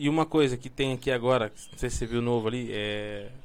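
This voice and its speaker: A man with a normal speaking voice at a medium pitch, fairly quick in pace, with fairly even intonation. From Brazil, São Paulo. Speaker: podcast host. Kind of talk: casual chat.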